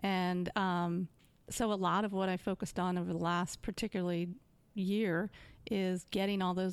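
Her voice sits at a medium pitch, and this woman keeps a monotone, flat intonation at a moderate pace. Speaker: sales executive. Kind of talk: casual interview chat.

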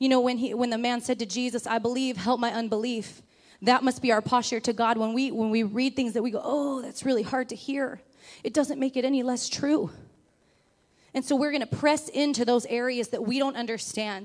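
A woman's high voice at a fairly quick pace with fairly even intonation, in a very clean recording with a silent background. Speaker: preacher. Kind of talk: sermon. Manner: fast.

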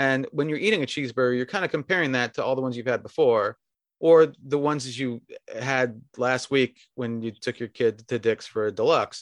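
Recorded dry and close with no echo over a quiet background, a man speaks at a fairly quick pace. He has an ordinary speaking voice with a medium pitch and ordinary pitch variation. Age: 60s. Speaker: restaurant beverage director and sommelier. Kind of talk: casual interview chat. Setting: remote call from home bedroom.

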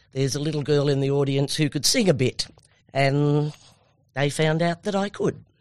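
Pitch moves with ordinary variation here. The voice carries an Australian accent. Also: woman. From Australia, Tamworth NSW. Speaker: former country music singer, radio presenter. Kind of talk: interview. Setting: studio.

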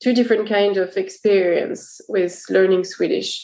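A woman speaks at a medium pitch with an French accent. Her pitch varies in an ordinary way. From France. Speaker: career coach. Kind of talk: casual interview conversation.

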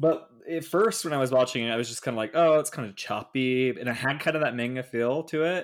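Recorded very cleanly against a silent background, a man with an ordinary speaking voice talks at a fairly quick pace and medium pitch, with ordinary pitch variation. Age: 20s. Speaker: podcast co-host. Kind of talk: casual chat.

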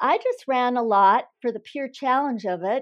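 Talking at a fairly slow pace, a woman speaks with a Minnesota accent. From northern Minnesota. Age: 60s. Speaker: former marathon champion. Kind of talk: interview. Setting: phone call.

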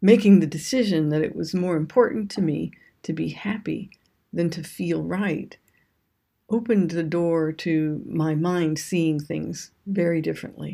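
A woman's fairly low voice, dark and mellow in tone, with ordinary pitch variation and a very slow pace on a very clean recording with a silent background. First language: English (speaking Japanese). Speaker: ayurveda and yoga teacher. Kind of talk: scripted talk on yoga philosophy.

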